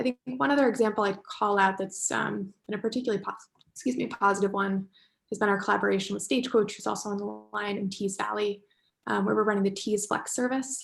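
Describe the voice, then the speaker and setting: A woman talks at a very fast pace in an American accent with fairly even intonation. Music plays in the background. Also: medium pitch for a woman. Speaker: transport technology company representative. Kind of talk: panel discussion contribution.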